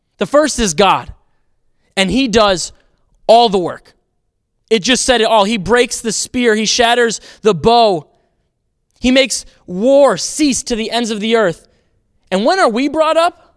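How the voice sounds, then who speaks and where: On a very clean recording with a silent background, a man with an American accent and an extremely high pitch talks fairly slowly with lively intonation and long, frequent pauses. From US Midwest (Racine, Wisconsin). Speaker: youth pastor. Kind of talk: sermon.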